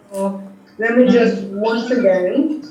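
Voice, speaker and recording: A woman with a Jamaican American accent talks at a very slow pace. Audible room echo and background music are present. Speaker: teacher. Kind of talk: radio interview. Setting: phone call. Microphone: on speakerphone, sounds far.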